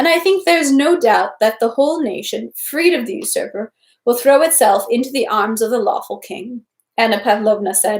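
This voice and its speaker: Fairly high female speech in a plain, everyday voice, moderately paced, with ordinary pitch variation. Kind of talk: novel read aloud.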